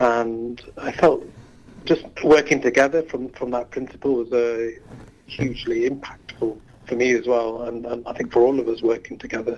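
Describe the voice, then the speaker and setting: A man's medium-pitched, monotone, flat delivery at a moderate pace. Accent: Yorkshire. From Leeds, northern England. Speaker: climate activist. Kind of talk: radio interview. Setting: phone call.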